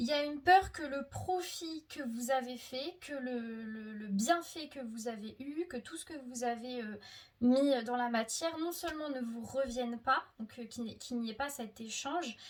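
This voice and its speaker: A woman's high-pitched voice, with ordinary pitch variation, unfolds at a very slow pace. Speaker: tarot card reader. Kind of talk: tarot reading video. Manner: halting, self-corrected.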